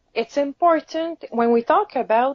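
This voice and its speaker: A woman with a Quebec accent at a fairly slow pace, with lively intonation. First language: French. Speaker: caregiver advocate. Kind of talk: interview.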